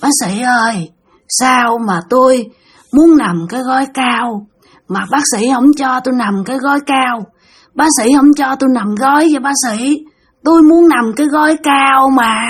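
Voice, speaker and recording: Putting on a character voice, a woman sounds high, breathy and raspy at a fairly slow pace. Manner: eerie, creepy.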